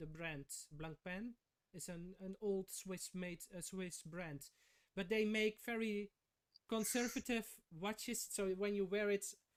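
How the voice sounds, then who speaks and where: A man with a non-native accent, high-pitched for a man, at a fairly slow pace with long, frequent pauses, in a dry, close sound without echo. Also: ordinary pitch variation. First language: not English. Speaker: watch collector. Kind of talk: casual chat. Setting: livestream. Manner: halting.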